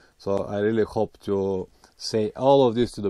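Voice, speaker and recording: With a non-native accent, the dark, mellow voice shows ordinary pitch variation against a quiet background. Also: man. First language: not English. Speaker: motorcycle travel vlogger. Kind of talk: vlog intro and interview.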